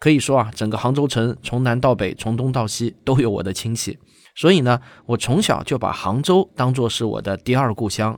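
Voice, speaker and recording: A man with a medium-pitched voice, an unremarkable speaking voice, talks at a moderate pace with ordinary pitch variation in a very clean recording with a silent background. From Shaoxing, Zhejiang, China. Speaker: science communicator and documentary director. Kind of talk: event announcement to viewers.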